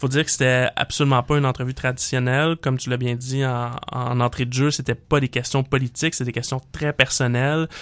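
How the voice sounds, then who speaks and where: On a very clean recording with a silent background and a dry, close sound with no echo, a man speaks at a medium pitch, fairly quickly, with monotone, flat intonation and hardly any pauses. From Quebec, Montreal (Saint-Léonard). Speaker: political panelist. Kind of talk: political talk show. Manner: hesitant, many fillers.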